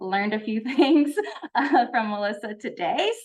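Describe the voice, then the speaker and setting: A woman's fairly high-pitched voice moves with lively intonation. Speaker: college honor society officer. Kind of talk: presentation. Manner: fast.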